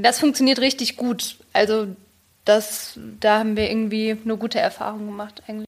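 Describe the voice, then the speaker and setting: A woman with a plain, everyday voice speaks at a fairly quick pace and fairly high pitch. Her intonation stays fairly even while her loudness swings widely. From Germany. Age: young. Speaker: journalist and photographer. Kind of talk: casual interview chat.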